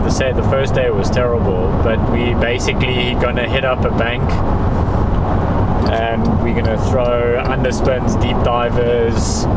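A man's fairly slow speech comes through loud background noise in a dry sound without echo. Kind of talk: casual vlog chat. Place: car. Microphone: phone near.

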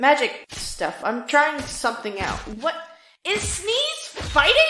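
A put-on character voice speaks at a high pitch and a fairly slow pace. There is a slight echo. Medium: actual play.

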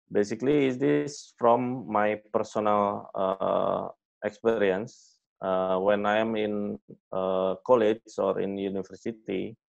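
A man with an Indonesian accent speaks at a very slow pace in a fairly low pitch, with ordinary pitch variation over a quiet background. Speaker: fintech executive; fintech company founder guest lecturer. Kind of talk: lecture. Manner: halting. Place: home room. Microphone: webcam.

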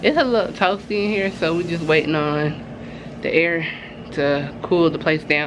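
A woman with a low voice talks at a moderate pace and with ordinary pitch variation, her words carrying audible room echo.

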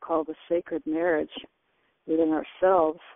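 The background is quiet. The sound is dry, with no echo. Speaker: spiritual teleconference show host. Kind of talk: spiritual group call discussion. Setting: phone conference call. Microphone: phone line.

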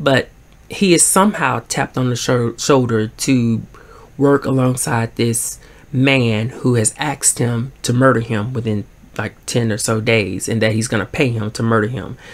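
Speaking with a Southern US accent, a man keeps a moderate pace and ordinary pitch variation. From US Deep South. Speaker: book vlogger. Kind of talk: casual chat. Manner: swallows words. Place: home room. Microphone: phone near.

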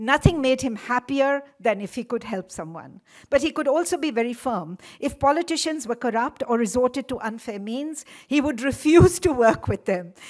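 Lively intonation at a fairly quick pace over a quiet background. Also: woman, high pitch for a woman. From India. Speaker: event organizer. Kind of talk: formal welcome speech. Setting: lecture hall with audience. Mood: warm, reminiscent. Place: hall. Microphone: podium.

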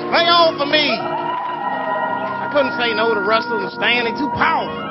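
Loud music plays in the background. Over it, a man speaks at a fairly slow pace. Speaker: comedian. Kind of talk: comedic poetry performance to live audience. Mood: wry, comedic, rhythmic. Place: stage. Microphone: handheld.

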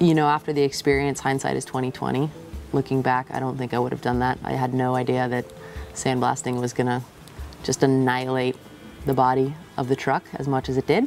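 Over faint music in the background, a woman with a very deep, low pitch speaks at a fairly quick pace with fairly even intonation, in a dry sound with no echo. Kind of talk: interview answer. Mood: relaxed, wry. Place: garden.

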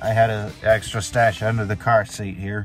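The sound is dry, with no echo and faint music behind it. The pace is fairly slow. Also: man. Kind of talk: casual vlog rant. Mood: annoyed, venting about family. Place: car. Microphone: phone near.

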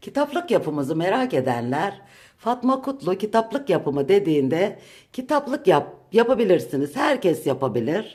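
This woman has a medium pitch with vocal fry and very wide pitch swings. Her loudness rises and falls in big swings. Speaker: home vlogger. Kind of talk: home tour vlog. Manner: deliberately slow.

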